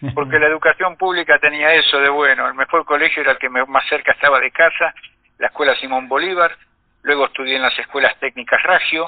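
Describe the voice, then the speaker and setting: A man talks at a very fast pace. His fairly high voice keeps fairly even intonation. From Argentina, Buenos Aires (porteño). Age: 60s. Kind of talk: interview.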